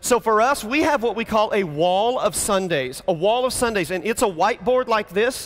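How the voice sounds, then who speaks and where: The delivery has an animated tone. Pitch varies in an ordinary way. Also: man. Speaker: pastor. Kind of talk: conference talk. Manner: fast.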